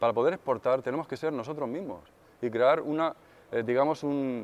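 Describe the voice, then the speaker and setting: At a fairly quick pace, a man talks with pitch that moves in an ordinary way. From Spain (provinces, outside Madrid). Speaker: session drummer and songwriter. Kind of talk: interview answers; interview answer. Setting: music industry event. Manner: hesitant, with fillers. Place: hall. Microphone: lapel.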